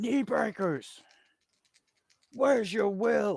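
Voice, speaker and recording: Shouting at a fairly high pitch, the speaker uses a put-on character voice. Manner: screaming, shouting.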